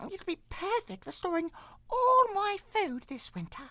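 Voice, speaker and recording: A man speaks at a fairly slow pace in a put-on character voice. His pitch is extremely high and squeaky. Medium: read story. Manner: polite, formal.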